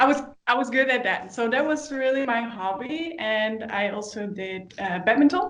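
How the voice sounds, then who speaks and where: Audible room echo surrounds a woman with a high pitch who speaks in a Dutch accent. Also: lively intonation, moderate pace. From Netherlands. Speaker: dancer. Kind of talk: casual interview chat. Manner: halting, many fillers.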